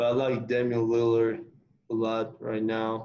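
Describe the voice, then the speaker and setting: Amid audible room echo, a man speaks fairly slowly in a dark, mellow tone with monotone, flat intonation. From Costa Rica (Heredia). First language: Spanish. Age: young. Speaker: college basketball player. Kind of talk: interview.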